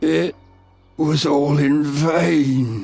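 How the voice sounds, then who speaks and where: A man's put-on character voice, fairly high in pitch, with lively intonation and faint background music. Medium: video game.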